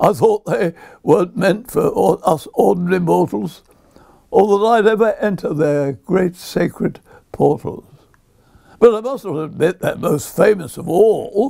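A man speaks at a fairly slow pace in a high voice with a dark, mellow tone and ordinary pitch variation against a quiet background. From southern England, Brighton; southern England. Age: 80s+. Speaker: poet. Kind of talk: reading aloud. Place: home room.

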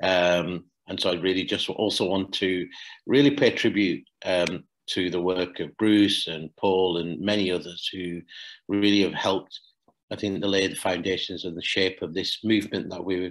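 A man's voice sits very deep and low. He keeps his intonation fairly even. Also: quiet background. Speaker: charity executive director and climate justice campaigner. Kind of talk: lecture; Q&A answers. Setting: video call. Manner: halting with many repetitions. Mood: earnest, forceful. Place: home room. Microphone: webcam.

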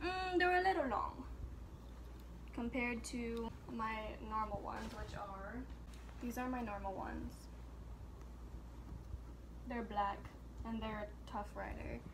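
A woman's fairly slow speech, full of long, frequent pauses, comes over noticeable background noise. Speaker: vlogger. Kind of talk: casual vlog chat. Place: home room. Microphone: phone near.

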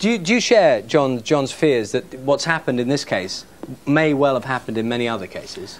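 With a British accent, a man talks at a fairly quick pace with lively intonation. Light background noise can be heard. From England. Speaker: news presenter. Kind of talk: studio discussion. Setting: studio. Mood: serious, measured. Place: studio. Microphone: lapel.

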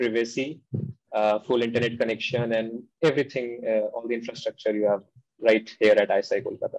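A man's monotone, flat delivery against a quiet background. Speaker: guest. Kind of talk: interview answer. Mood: relaxed, friendly. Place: home room. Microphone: video call.

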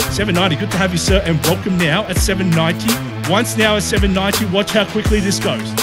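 With clear music playing behind him, a man talks fairly quickly. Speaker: auctioneer. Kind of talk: property auction call. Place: street. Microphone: lapel.

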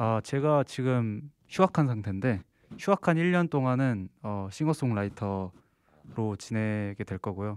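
Against a quiet background, a man speaks at a very slow pace with medium pitch and lively intonation in a dry sound with no echo. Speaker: singer-songwriter and composer, university student; interviewee. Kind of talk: interview. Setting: studio. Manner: relaxed. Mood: calm, polite. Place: studio. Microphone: handheld.

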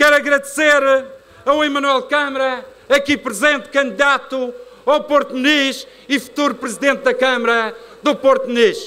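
A man's raised, projected voice, extremely high in pitch, with very even loudness. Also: ordinary pitch variation, moderate pace. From Madeira, Portugal. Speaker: regional party leader; politician giving a rally speech. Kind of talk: political rally speech. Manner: animated. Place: stage. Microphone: podium.

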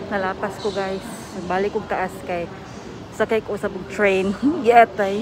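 A woman speaks at a fairly slow pace with monotone, flat intonation. The sound is dry with no echo, though noticeable background noise comes through. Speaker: travel vlogger. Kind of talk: casual vlog chat. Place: station. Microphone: phone near.

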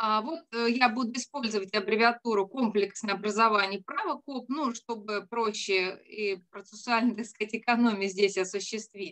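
In a normal speaking voice, a woman talks at a moderate pace and a fairly high pitch with fairly even intonation and hardly any pauses, over a quiet background. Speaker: law professor. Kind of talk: academic presentation. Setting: video call. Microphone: video call.

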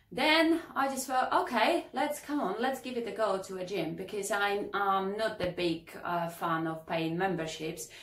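Audible room echo surrounds a woman talking at a moderate pace. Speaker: fitness coach, kitesurf instructor. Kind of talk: casual vlog chat. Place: home room.

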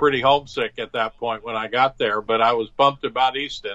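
A man speaks with an American accent. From New Jersey. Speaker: painter, retired architecture professor. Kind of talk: interview. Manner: halting with fillers.

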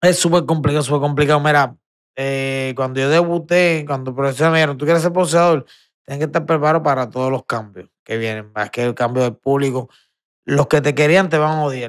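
The speech has ordinary pitch variation over a quiet background. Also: man. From Puerto Rico. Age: 40s. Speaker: retired professional boxer; podcast guest. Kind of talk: casual interview chat. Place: studio. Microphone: studio mic.

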